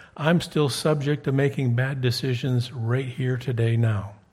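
Somewhat breathy and fairly high-pitched, a man speaks fairly slowly with ordinary pitch variation. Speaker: preacher. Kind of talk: sermon. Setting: church.

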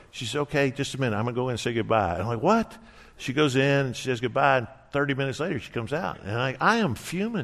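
A man speaks at a very fast pace with lively intonation. Room echo is audible. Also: medium pitch for a man. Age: 60s. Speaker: pastor. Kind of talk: sermon.

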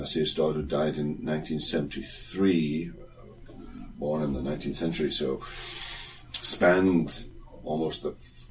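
A man's very deep, low voice at a moderate pace, with fairly even intonation, long, frequent pauses and noticeable background noise. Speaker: theology teacher. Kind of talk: casual chat. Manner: halting.

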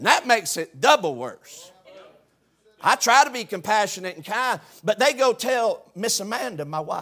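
A man with a Southern US accent uses a raised, projected voice that is high-pitched with a bright, sharp tone, very wide pitch swings and big swings in loudness, all at a moderate pace. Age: 60s. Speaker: preacher. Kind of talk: sermon.

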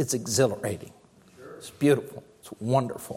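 A somewhat breathy male voice. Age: 50s. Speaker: pastor. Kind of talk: sermon.

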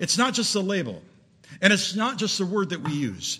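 Bright and sharp in tone, a man projects his raised voice at a high pitch with lively intonation. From Southern California. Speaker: preacher. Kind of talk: sermon. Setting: church.

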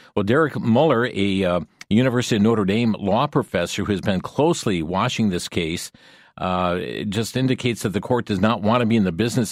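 He speaks in a normal speaking voice at a fairly quick pace. This man's pitch is fairly low, with ordinary variation. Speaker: radio talk show host. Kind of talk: news commentary on call-in radio. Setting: studio.

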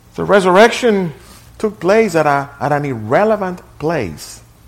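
A man's voice with audible room echo. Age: 60s. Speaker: pastor. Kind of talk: sermon.

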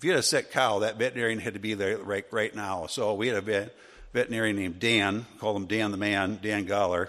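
This man, with an American accent, speaks at a very fast pace with fairly even intonation and a fairly low pitch. The background is quiet. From US Midwest, Wisconsin. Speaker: Sunday school teacher. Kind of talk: Bible class teaching.

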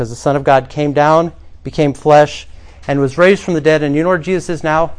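A man with a normal speaking voice, fairly high in pitch, with ordinary pitch variation. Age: 40s. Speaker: pastor. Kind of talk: sermon.

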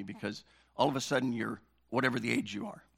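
A man talks at a very fast pace and medium pitch on a very clean recording with a silent background. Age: 60s. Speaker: pastor. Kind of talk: sermon. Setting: church.

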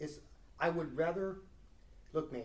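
With vocal fry, a man speaks at a fairly quick pace in a fairly high voice with ordinary pitch variation. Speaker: Bible study leader. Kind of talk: Bible study lesson with group discussion. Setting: recorded near a recorder with a small group.

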